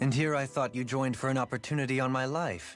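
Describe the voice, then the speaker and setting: Over clear background music, a man in a put-on character voice at a medium pitch speaks very fast, with fairly even intonation and very even loudness. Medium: video game.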